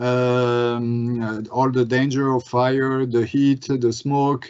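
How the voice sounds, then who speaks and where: A man with a French accent. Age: 40s. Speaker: glass industry business manager. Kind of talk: webinar presentation and Q&A. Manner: halting, many fillers.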